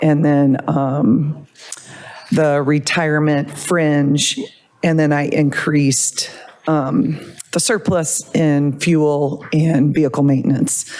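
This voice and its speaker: A woman speaks at a very slow pace with a very deep, low pitch. Her loudness is very even and her intonation fairly even, with noticeable background noise. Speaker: police department budget officer. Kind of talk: budget report at public meeting.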